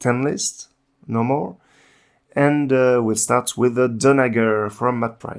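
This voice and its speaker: Very slowly and with fairly even intonation, a man speaks at a medium pitch with a French accent on a very clean recording with a silent background. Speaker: tabletop game channel host. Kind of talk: casual gaming review discussion. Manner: halting, many filler sounds.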